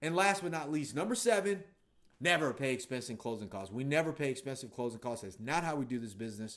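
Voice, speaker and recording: The delivery is very fast and energetic in tone. The intonation is lively. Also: man, medium pitch for a man. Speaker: real estate investor and trainer. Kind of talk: casual talking-head video.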